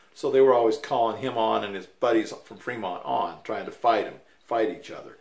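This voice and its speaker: Audible room echo surrounds a man with an American accent speaking at a fairly quick pace in a relaxed, amused tone. His loudness swings a lot. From Utah, US. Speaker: grandfather telling family stories. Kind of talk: casual elder telling life story, folksy storytelling. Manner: rambling and conversational, with fillers and restarts, relaxed, mildly amused. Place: home room. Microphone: camera far.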